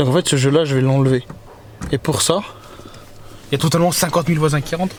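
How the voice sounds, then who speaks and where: Over noticeable background noise, a man speaks quietly at a fairly high pitch with fairly even intonation. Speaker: car enthusiast youtuber. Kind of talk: casual DIY car vlog. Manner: speaking quietly; hesitant, many fillers.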